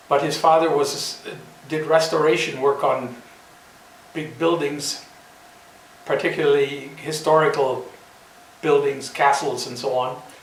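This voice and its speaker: With an American accent, a man speaks at a fairly slow pace, leaving long, frequent pauses, his pitch fairly high and his intonation fairly even. Noticeable background noise and audible room echo fill the recording. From US Midwest, south of Chicago. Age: 70s. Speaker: retired scientist. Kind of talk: casual talk to camera. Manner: halting, with self-corrections.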